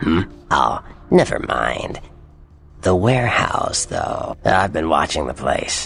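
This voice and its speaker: A man's put-on character voice, very deep and low, at a fairly slow pace with long, frequent pauses over faint background music. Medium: video game. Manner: smug, drawling.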